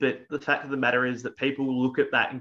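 Against a quiet background, a man with an Australian accent speaks at medium pitch in a bright, sharp tone with fairly even intonation. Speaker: tabletop wargaming tournament player; channel host. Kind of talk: casual chat. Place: home room. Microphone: video call.

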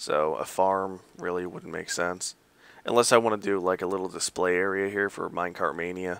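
Mumbling at a moderate pace, a man speaks in a very deep, low, monotone voice with flat intonation on a very clean recording with a silent background. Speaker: gamer showing a game server. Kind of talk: game walkthrough commentary.

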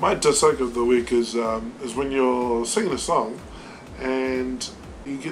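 There is light background noise as a man talks with a New Zealand accent. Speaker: vlog co-host. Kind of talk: casual vlog talk to camera. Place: home room. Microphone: webcam.

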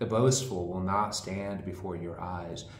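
Over light background noise and audible room echo, a man speaks with ordinary pitch variation. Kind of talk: scripture reading. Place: home room. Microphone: camera far.

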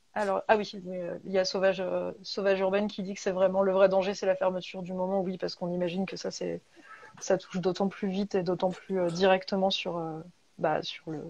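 A woman's flat, monotone delivery at a moderate pace. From rural France, provincial. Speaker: bookshop host interviewer. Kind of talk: live interview. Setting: video call from home. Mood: warm, friendly. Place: home room. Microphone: earbuds.

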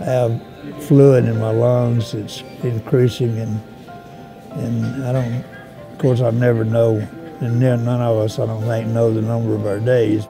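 With clear music in the background, a man of medium pitch speaks at a fairly slow pace with fairly even intonation and long, frequent pauses. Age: 80s+. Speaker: war veteran. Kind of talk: interview answer. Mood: reflective, moved. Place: hall. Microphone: lapel.

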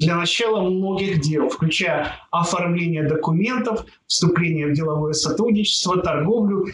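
High male voice at a moderate pace with ordinary pitch variation, plus audible room echo and light background noise. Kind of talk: monthly horoscope forecast talk. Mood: upbeat, reassuring.

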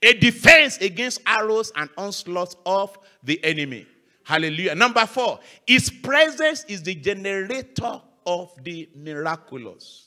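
With a raised, projected voice and a bright, sharp tone, a man swings very widely in pitch and greatly in loudness. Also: quiet background. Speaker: guest pastor. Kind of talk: sermon. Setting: church. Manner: animated. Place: church. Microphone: handheld.

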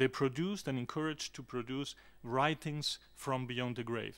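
The speaker is a man with a Spanish accent. His intonation is fairly even. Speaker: academic; conference panelist. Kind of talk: reading aloud a paper. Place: meeting room.

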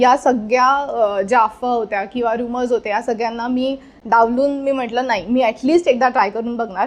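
A woman speaks in a high-pitched voice against a quiet background. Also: fairly even intonation. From India, Mumbai. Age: 20s. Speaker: housing lottery winner. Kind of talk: testimonial.

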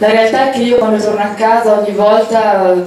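The woman's voice sits at a medium pitch, delivered in a flat monotone. Strong room echo and light background noise surround it. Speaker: political candidate. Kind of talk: campaign speech. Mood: earnest, somewhat indignant. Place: hall.

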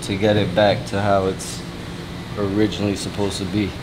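Noticeable background noise fills the space behind this speaker. He is a man talking at a moderate pace. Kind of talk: casual vlog chat. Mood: disappointed, upset about paint damage. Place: shop.

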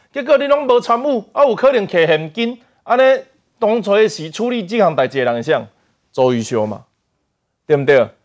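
A man's high-pitched voice at a moderate pace, very wide pitch swings, long and frequent pauses, and a quiet background. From Taiwan. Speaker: politician. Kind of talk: political talk show panel. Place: studio. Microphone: lapel.

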